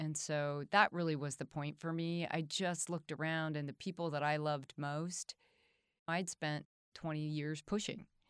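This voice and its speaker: A woman speaks in a very deep, low voice with monotone, flat intonation at a moderate pace. The recording is very clean with a silent background, and the sound is dry and close with no echo. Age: 60s. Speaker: business owner and cancer survivor. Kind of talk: interview.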